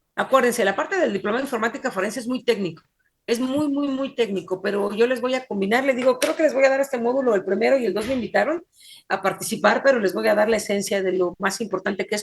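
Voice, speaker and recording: A woman with a fairly high pitch and ordinary pitch variation talks very fast. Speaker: forensic computing instructor. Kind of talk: online class lecture. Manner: fast, hard to follow.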